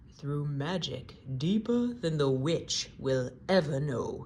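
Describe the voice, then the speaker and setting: A put-on character voice, low-to-middle in pitch, at a fairly slow pace over clear background noise. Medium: read story. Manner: calm, warm, dignified.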